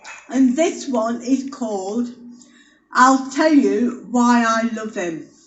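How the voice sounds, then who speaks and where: A woman talks at a very slow pace in a high voice, with ordinary pitch variation. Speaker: amateur poet. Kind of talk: casual spoken introduction.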